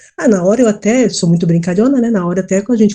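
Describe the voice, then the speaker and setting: Speaking very fast with lively intonation, a woman uses a medium-pitched, somewhat breathy voice with a dark, mellow tone. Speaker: scam victim. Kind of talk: testimony. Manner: halting, with repetitions.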